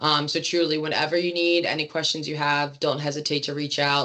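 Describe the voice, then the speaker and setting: This woman's pitch is very deep and low. She speaks at a fairly quick pace. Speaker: staff trainer presenting to chapter leaders. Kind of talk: online training presentation. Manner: fast.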